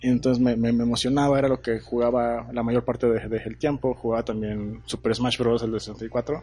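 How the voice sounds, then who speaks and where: Hardly pausing, a man speaks at a moderate pace and medium pitch with a dark, mellow tone and monotone, flat intonation. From northern Mexico, Torreón (La Laguna). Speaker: product designer. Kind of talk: interview.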